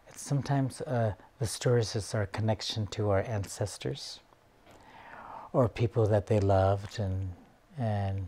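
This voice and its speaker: Pausing long and often, a man speaks at a fairly slow pace in a fairly low pitch, his somewhat breathy voice dark and mellow in tone with ordinary pitch variation. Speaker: storyteller. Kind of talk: interview answer. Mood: calm, reflective. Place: home room.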